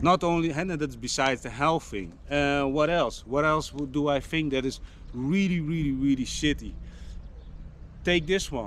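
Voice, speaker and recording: A man with a Dutch accent speaks at a moderate pace, his fairly high pitch moving with ordinary variation. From Netherlands. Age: 40s. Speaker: fitness vlogger. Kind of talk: casual vlog monologue. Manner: halting, with many fillers and restarts.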